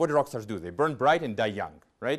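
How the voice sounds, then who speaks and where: With vocal fry, a man speaks at a fairly quick pace against a quiet background. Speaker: physicist. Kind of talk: public lecture. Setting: auditorium with audience. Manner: loud.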